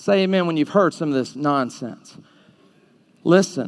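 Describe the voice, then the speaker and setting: A man speaks with an American accent. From Alabama. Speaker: preacher. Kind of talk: fiery evangelistic sermon to a live youth audience, confrontational and call-and-response. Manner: punchy, animated rhetorical delivery with jabbing short sentences; mocking sing-song voicing of the audience's objections.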